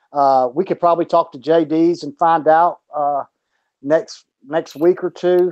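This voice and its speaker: Dry and close with no echo, a man's voice has a dark, mellow tone, a high pitch and fairly even intonation. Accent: Southern US. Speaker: boxing podcast co-host. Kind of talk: casual chat.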